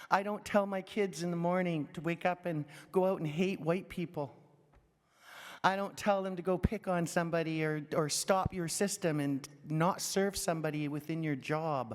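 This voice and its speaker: A woman with a Canadian accent and a normal speaking voice talks at a fairly low pitch and moderate pace, with ordinary pitch variation, on a very clean recording with a silent background. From Canadian Prairies, Saskatchewan. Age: 60s. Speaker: First Nations adult educator. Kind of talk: audience comment at a conference.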